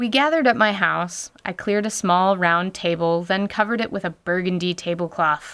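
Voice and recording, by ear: A woman's clear, smooth, fairly bright tone at a fairly low pitch. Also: ordinary pitch variation, moderate pace.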